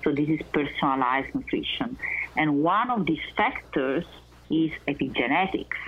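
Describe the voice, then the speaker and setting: This woman's voice sits very deep and low, yet her pitch swings very widely. Her loudness stays very even throughout. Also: moderate pace. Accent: Italian. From Italy, Naples. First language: Italian. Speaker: research scientist. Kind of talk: interview. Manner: halting; passionate.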